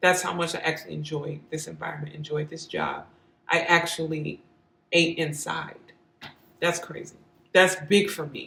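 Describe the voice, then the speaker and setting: Using a very deep, low pitch with vocal fry and a bright, sharp tone, a woman talks at a moderate pace with long, frequent pauses, monotone, flat intonation and big swings in loudness, audible room echo around her. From St. Louis, Missouri. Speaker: vlogger and singer. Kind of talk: casual vlog monologue.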